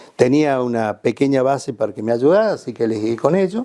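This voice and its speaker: Here a man talks at a moderate pace in a dark, mellow tone. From Córdoba province, Argentina. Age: 70s. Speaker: surgeon and clinical doctor. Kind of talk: interview answer.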